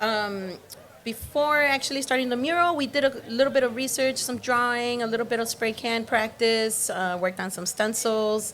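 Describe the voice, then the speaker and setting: Here is a woman with a plain, everyday voice and a fairly high pitch. She talks at a moderate pace with ordinary pitch variation. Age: 20s. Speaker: graffiti art instructor. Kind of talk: interview.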